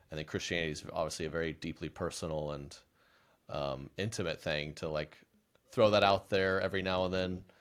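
On a very clean recording with a silent background, a man with an Oklahoma accent and a very deep, low pitch speaks fairly quickly with fairly even intonation. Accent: Oklahoma, US Southern Plains. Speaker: comedian. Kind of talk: casual chat.

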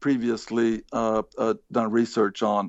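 A man with a Swedish accent talks at a fairly slow pace. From Sweden. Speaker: psychology professor. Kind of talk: interview. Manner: halting, many repeated words.

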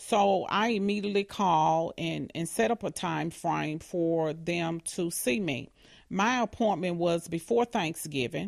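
Against a quiet background, a woman with an unremarkable speaking voice talks at a fairly slow pace and fairly low pitch, with ordinary pitch variation. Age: 40s. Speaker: hospital technician and cancer patient. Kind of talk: interview testimony.

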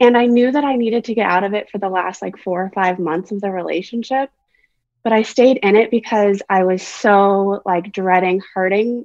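A woman's ordinary speaking voice, medium in pitch, with ordinary pitch variation and a moderate pace. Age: 20s. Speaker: caller. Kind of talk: advice call.

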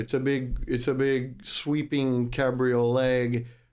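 On a very clean recording with a silent background, a man uses fairly even intonation in a normal speaking voice. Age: 40s. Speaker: antiques dealer. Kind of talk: casual chat.

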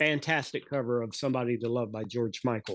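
A man speaks at a fairly quick pace in a normal speaking voice with ordinary pitch variation, the sound dry and close with no echo. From US South, North Carolina. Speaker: wrestling referee. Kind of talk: interview.

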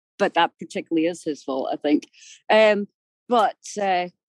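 Here a woman speaks in a Glasgow accent at a moderate pace. The sound is dry and close, with no echo. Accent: Scottish (Glaswegian). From Glasgow, Scotland. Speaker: caller. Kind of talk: casual chat.

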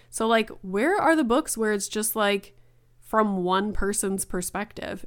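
A woman's animated voice at medium pitch and moderate pace, in a very clean recording with a silent background. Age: 30s. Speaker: podcast host. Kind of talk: solo monologue, casual venting. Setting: home recording, filmed on camera.

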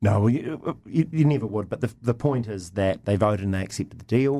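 With a New Zealand accent, a man speaks at a fairly quick pace in a fairly low voice with a dark, mellow tone. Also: very clean recording, silent background. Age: 30s. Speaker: lobby group chief executive. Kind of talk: radio panel debate. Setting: radio studio.

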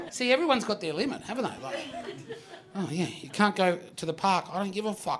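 A man with an Australian accent speaks at a fairly quick pace with lively intonation. Noticeable background noise runs beneath him. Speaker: comedy podcast host. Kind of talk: live comedy Q&A with audience. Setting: bar stage with live audience.

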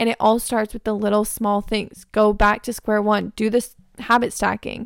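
Dry and close with no echo, a woman's fairly high voice moves at a moderate pace. Her intonation is monotone and flat. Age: 20s. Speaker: podcast host, fitness content creator. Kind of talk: casual solo monologue.

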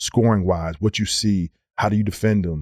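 An ordinary speaking voice from a man at a moderate pace and fairly low pitch, dry and close with no echo, on a very clean recording with a silent background. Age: 40s. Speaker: former NBA player. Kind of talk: casual chat.

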